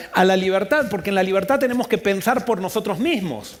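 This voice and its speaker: This man talks at a fairly quick pace with ordinary pitch variation, and noticeable background noise sits behind him. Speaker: pastor. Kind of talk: sermon. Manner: fast.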